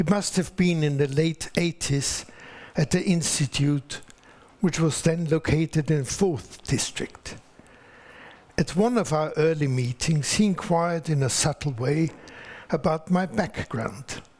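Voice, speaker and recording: With an Austrian accent, a man speaks at a fairly high pitch. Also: ordinary pitch variation, fairly slow pace. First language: German. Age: 80s+. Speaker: author and lecturer. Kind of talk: lecture; formal speech. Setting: stage with audience.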